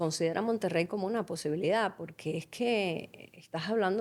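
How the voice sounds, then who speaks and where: Fairly quick speech from a woman, medium in pitch and ordinary in pitch variation. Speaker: musicologist and life coach. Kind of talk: interview answer. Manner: passionate, energetic speech.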